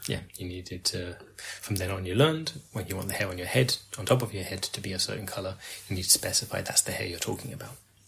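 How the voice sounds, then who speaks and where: With noticeable background noise behind him, a man with an English accent and a very deep, low pitch talks very fast with ordinary pitch variation. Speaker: podcast co-host. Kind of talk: casual chat.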